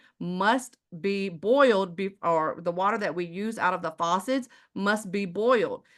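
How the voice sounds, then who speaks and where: A woman's bright, sharp, animated voice in an American accent, medium in pitch with ordinary pitch variation, at a fairly slow pace over a quiet background. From Texas, Houston. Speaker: sales presenter. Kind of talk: sales pitch.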